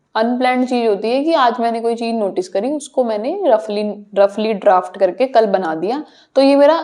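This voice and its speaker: A woman speaks with a Punjabi accent and a fairly high pitch. Her ordinary pitch variation comes with hardly any pauses. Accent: Punjabi accent in Hindi. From Punjab, India. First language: Punjabi (speaking Hindi). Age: young. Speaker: social media content creator. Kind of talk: podcast interview.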